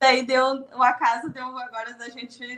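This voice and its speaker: A woman speaks with a Rio Grande do Sul accent. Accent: gaúcho (Rio Grande do Sul). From southern Brazil (Rio Grande do Sul). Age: 30s. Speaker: podcast guest, content creator. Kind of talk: podcast interview.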